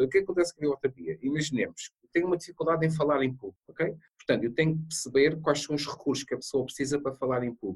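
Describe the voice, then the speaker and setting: A man with a fairly high pitch and ordinary pitch variation, somewhat breathy, at a very fast pace with hardly any pauses, in a dry, close sound with no echo. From Madeira, Portugal. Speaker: bibliotherapist and mentor. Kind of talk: interview.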